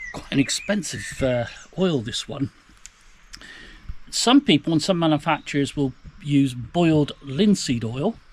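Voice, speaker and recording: In a relaxed tone, a man talks at a moderate pace with a fairly high pitch, ordinary pitch variation and a somewhat breathy quality. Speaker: canoeing instructor. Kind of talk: tutorial. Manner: casual, relaxed.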